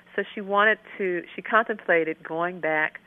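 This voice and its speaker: At a moderate pace, a woman with an American accent talks in a plain, everyday voice with ordinary pitch variation. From US, Maryland. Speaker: children's book author and professor. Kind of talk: radio interview. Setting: phone call.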